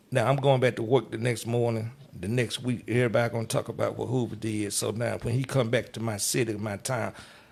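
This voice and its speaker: Vocal fry runs through speech delivered at a very fast pace with hardly any pauses. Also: man, medium pitch for a man. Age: 60s. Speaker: club DJ. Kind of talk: casual interview chat. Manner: animated.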